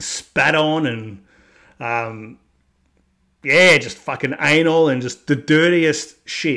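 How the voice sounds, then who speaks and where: With an Australian accent, a man speaks with fairly even intonation. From Australia, Melbourne, Victoria. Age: 30s. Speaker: YouTube vlogger. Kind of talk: casual monologue vlog. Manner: conversational, with fillers.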